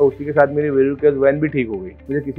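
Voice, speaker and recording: A man at a moderate pace, faint music in the background. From Maharashtra, India. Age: 20s. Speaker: bariatric surgery patient. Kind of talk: patient testimonial to camera. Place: office. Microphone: lapel.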